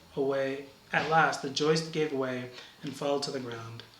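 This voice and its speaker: Here a man speaks at a fairly high pitch with fairly even intonation. There is noticeable background noise. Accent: American. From Brooklyn, New York. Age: 30s. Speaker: university campus minister. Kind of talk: read-aloud story passage.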